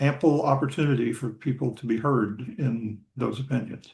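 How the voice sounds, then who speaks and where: At a fairly slow pace, a man speaks in a fairly high, somewhat breathy voice with ordinary pitch variation. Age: 60s. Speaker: retired sports columnist. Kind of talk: casual interview. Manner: halting, many repetitions.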